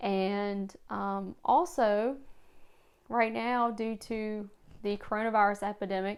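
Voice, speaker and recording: A woman with an American accent speaks at a very slow pace and medium pitch, with fairly even intonation, on a very clean recording with a silent background. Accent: regional accent, noticeable (she dislikes it). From rural Virginia, US. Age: 30s. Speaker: booktuber, high school librarian. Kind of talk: casual vlog monologue.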